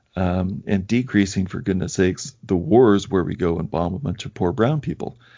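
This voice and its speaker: A man with an ordinary speaking voice and a fairly low pitch talks at a moderate pace with lively intonation and hardly any pauses. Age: 40s. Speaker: podcast host, former physician colleague. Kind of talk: casual conversation interview.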